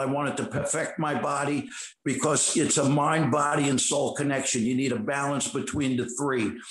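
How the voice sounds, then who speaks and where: With a New York accent, a man talks at a fairly quick pace with a fairly high pitch. Noticeable background noise and audible room echo surround him. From New York City, Queens. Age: 60s. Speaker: actor and bodybuilder. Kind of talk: interview. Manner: animated.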